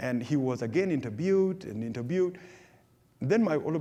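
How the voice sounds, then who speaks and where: With a South Sudanese accent, a man speaks at a moderate pace in a dark, mellow tone with lively intonation. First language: Dinka. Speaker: refugee speaker. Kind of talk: public talk with Q&A. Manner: halting, many repetitions.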